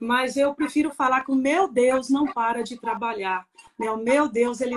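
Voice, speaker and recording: Over music in the background, a woman with a high-pitched voice and a Minas Gerais accent speaks at a fairly slow pace. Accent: mineiro Brazilian Portuguese. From Minas Gerais, Brazil (Papagaios). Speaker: pastor's wife, pastor. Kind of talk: testimony. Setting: live stream.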